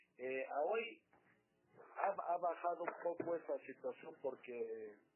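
A man at a very slow pace. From Mexico, Michoacán. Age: 60s. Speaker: writer and poet. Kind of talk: interview. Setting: studio.

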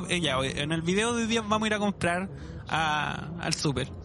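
A man with a Chilean accent speaks in a raised, projected voice with lively intonation. There is audible room echo and noticeable background noise. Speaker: podcast host. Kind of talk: casual chat.

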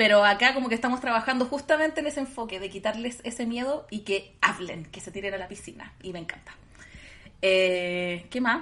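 This woman talks at a fairly quick pace, her tone bright and sharp, her pitch fairly high. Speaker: podcast co-host and teacher. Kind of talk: casual chat.

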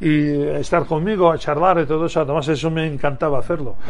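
A very fast man's voice, fairly high-pitched and fairly even in intonation, with audible room echo. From Russia (Moscow, Soviet Union). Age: 50s. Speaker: former basketball player. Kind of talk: interview. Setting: radio studio. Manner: halting.

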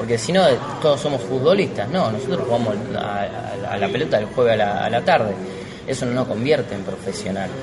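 Lively in intonation, a man speaks at a fairly quick pace and medium pitch. Both room echo and background noise are noticeable. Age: 30s. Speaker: stand-up comedian. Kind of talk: casual interview.

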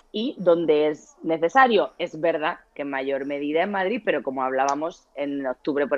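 Lively intonation runs through a woman's very deep, low voice. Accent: Murcian. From Murcia, Spain. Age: 40s. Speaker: family lawyer. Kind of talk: casual interview.

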